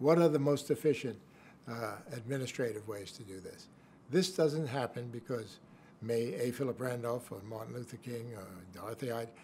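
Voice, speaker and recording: A man with an American accent talks at a medium pitch and a moderate pace. His voice is somewhat breathy, with ordinary pitch variation. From New York City. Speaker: former government official and lawyer. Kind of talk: interview answer.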